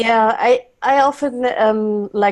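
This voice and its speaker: A woman speaks with a German accent. Her intonation is fairly even. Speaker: facilitator, panelist. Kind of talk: webinar panel discussion. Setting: online webinar. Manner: hesitant, repeating words.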